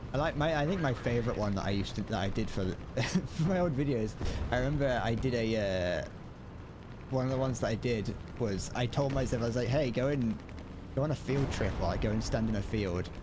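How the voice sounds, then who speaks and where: In an English Midlands accent, a man talks at a fairly quick pace and medium pitch with ordinary pitch variation and very even loudness, amid noticeable background noise and audible room echo. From England, Midlands. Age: 20s. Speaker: gaming streamer. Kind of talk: casual live-stream chat. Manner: halting, many false starts and repetitions; slurs words.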